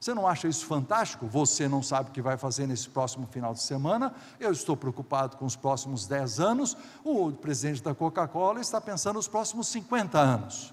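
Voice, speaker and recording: Somewhat breathy, the speaker moves at a moderate pace and uses lively intonation. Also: man. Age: 60s. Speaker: pastor. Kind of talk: sermon.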